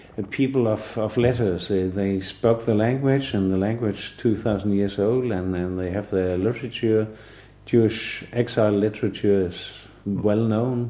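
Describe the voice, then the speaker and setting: A man's dark, mellow, fairly low voice with a Danish accent. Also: fairly even intonation, moderate pace. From Denmark, Southern Jutland. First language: Danish (Southern Jutland dialect). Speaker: artist. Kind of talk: podcast interview. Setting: living room. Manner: halting, many fillers.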